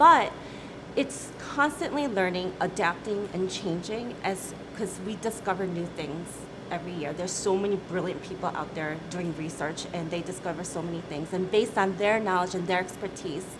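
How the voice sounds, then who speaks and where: A woman talks at medium pitch with ordinary pitch variation. Noticeable background noise and audible room echo surround her voice. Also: moderate pace. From US Midwest, Michigan. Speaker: company CEO. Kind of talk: interview.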